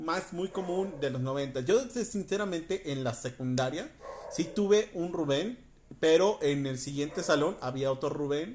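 A man's animated voice with lively intonation at a fairly slow pace. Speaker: podcast host. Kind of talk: casual monologue. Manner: animated, laughing often.

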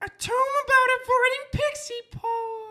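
An extremely high-pitched put-on character voice goes at a moderate pace.

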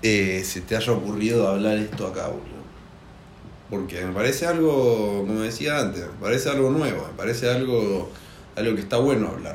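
A man's fairly low voice in a Rioplatense accent, with audible room echo. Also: ordinary pitch variation, moderate pace. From Argentina. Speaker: podcast host. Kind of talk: casual chat.

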